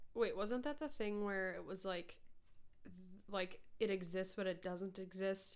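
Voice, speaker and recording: A woman with ordinary pitch variation, long, frequent pauses, and audible room echo. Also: medium pitch for a woman, fairly slow pace. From northern Minnesota. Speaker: podcast co-host. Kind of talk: casual chat.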